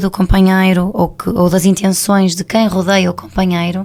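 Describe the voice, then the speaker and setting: A woman speaks at a medium pitch. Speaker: couples therapist, radio guest. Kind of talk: radio interview explanation.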